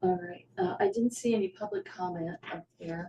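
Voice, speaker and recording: The delivery is fairly slow, with fairly even intonation. The voice sounds somewhat breathy. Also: woman. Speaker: select board chair. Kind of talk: town meeting. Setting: meeting room with Zoom. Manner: soft-spoken.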